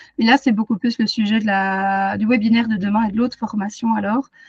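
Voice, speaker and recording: Speaking at a fairly quick pace, a woman with a fairly high, somewhat breathy voice keeps a fairly even intonation in a dry, close recording with no echo. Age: 30s. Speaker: animal communicator and energy therapist. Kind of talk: webinar presentation. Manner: hesitant, many fillers.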